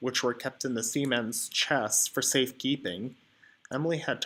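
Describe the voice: This is plain reading aloud, and the pitch moves in an ordinary way.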